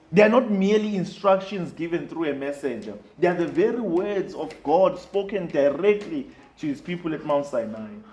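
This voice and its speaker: Over noticeable background noise, a high-pitched man speaks at a moderate pace with lively intonation. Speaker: preacher. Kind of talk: sermon delivered to a congregation.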